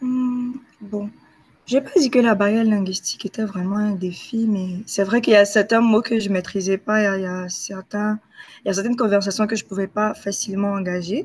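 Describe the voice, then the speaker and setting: A woman speaks at a medium pitch and a fairly quick pace, sounding somewhat breathy. Her intonation is fairly even. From Ivory Coast. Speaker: university student. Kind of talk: interview answer.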